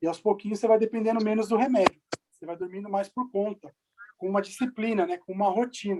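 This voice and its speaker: A man speaks at a very fast pace in a high pitch. His loudness swings widely while his intonation stays fairly even. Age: 40s. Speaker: physician. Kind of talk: Q&A talk.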